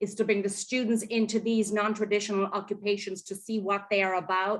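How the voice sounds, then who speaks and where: Her voice sits fairly high in pitch, the woman speaking with monotone, flat intonation. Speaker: college and career connector. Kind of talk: presentation at online town hall. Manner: fast.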